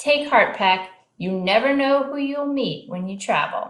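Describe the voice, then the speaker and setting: Using a put-on character voice, the speaker moves at a moderate pace with big swings in loudness. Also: woman, high pitch for a woman. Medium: read story.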